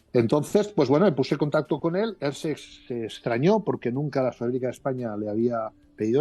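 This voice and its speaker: Music plays in the background as a man talks at a fairly quick pace. His pitch is fairly high and his intonation lively. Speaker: former Bible society director. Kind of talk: interview answer. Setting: phone line.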